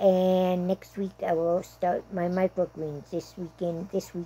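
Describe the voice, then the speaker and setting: The voice has a dark, mellow tone and an American accent. It moves at a fairly slow pace with monotone, flat intonation. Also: woman. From South Dakota. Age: 70s. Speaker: vlogger. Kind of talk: casual monologue. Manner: chatty, rambling with fillers.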